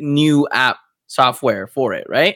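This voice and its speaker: Fairly high-pitched man with a bright, sharp tone. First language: Spanish. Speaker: tech podcast co-host. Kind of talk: casual chat. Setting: studio.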